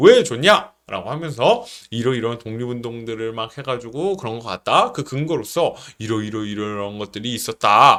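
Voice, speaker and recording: A man at medium pitch with a bright, sharp, confident tone, ordinary pitch variation and big swings in loudness. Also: moderate pace. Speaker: middle school history teacher. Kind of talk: online class instructions. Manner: confident, loud and clear.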